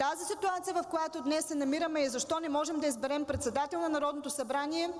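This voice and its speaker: A woman's high-pitched voice at a fairly quick pace, with ordinary pitch variation. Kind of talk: parliamentary speech. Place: hall. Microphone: podium.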